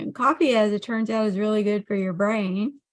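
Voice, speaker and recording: The speaker is a woman with a fairly high pitch. Her voice is somewhat breathy. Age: 60s. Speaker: health coach. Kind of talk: monologue on health. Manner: halting, many fillers.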